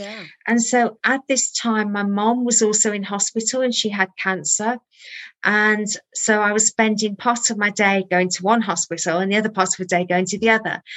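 A woman speaks with a slight Birmingham accent, her fairly high pitch carried on fairly even intonation. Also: moderate pace. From Birmingham, England. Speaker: holistic therapy trainer and author. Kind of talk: interview.

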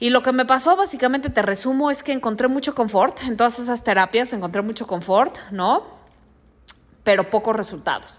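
A woman's high-pitched voice with lively intonation, an animated tone and a fairly quick pace. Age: 30s. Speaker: podcast host and life coach. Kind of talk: motivational monologue.

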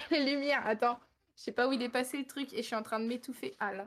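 At a fairly quick pace, a woman with a high pitch keeps her intonation fairly even. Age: 20s. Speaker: streamer. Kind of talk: casual chat.

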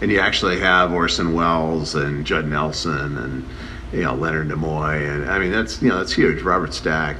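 A man's very deep, low voice at a moderate pace, with ordinary pitch variation, audible room echo and noticeable background noise. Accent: American. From Chicago. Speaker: screenwriter. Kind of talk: documentary interview.

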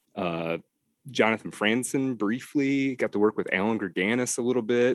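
A man with an American accent uses an ordinary speaking voice at a fairly low pitch and a fairly slow pace, in a dry, close sound with no echo. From Detroit, US Midwest. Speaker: novelist. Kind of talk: interview conversation.

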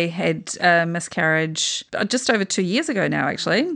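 At a moderate pace, a woman with a New Zealand accent talks with ordinary pitch variation against a quiet background. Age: 40s. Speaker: podcast host. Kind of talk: casual chat.

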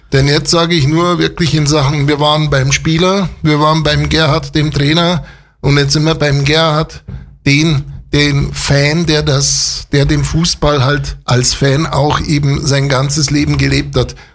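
Somewhat breathy, a man with a fairly high pitch keeps his loudness very even. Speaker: local radio host. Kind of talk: radio show presenting and interview. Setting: radio studio. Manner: animated.

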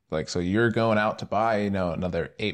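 An unremarkable speaking voice moves at a fairly quick pace with fairly even intonation over a quiet background. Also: man. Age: young (18-20s). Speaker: podcast host. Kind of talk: casual chat.

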